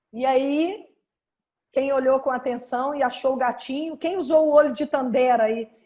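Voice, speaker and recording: With a dark, mellow tone, a woman speaks at a high pitch and a moderate pace with fairly even intonation. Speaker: dental radiology professor. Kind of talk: lecture.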